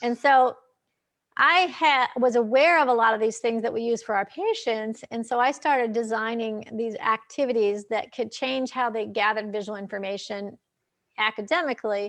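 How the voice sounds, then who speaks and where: At a fairly high pitch and moderate pace, a woman talks in an ordinary speaking voice with ordinary pitch variation. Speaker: eye doctor and author. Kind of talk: casual interview. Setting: live video stream.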